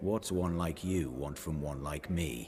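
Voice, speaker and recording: In a put-on character voice, a man growls at a fairly slow pace with a very deep, low pitch over clear background noise. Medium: video game. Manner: cold, haughty.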